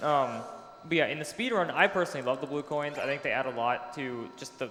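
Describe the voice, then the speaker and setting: A man talks very fast with noticeable background noise behind him. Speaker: speedrun commentator. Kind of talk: live commentary.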